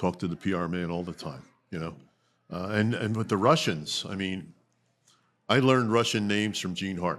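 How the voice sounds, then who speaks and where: This man talks at a moderate pace in a very deep, low voice, with ordinary pitch variation. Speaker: arena public address announcer. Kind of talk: casual interview. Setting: bar watch party. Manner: halting, many fillers.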